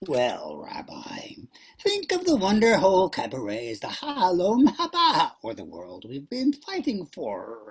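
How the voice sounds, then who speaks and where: A put-on character voice from a man at a fairly slow pace. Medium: stage play.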